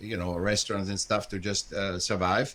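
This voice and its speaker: The man's voice has a bright, sharp tone. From Austria, Vienna. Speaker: multimedia artist and educator. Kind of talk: interview. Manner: halting.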